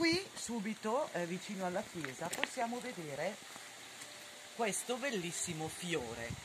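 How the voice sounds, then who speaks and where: The woman speaks at a fairly slow pace. Noticeable background noise is present. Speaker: hiking vlogger guide. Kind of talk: casual travel vlog commentary. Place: open country.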